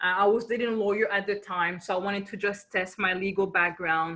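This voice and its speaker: A woman with a French accent speaks at medium pitch and a moderate pace. Her tone is animated and bright, sharp, with ordinary pitch variation. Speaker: business coach. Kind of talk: webinar presentation. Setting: video webinar.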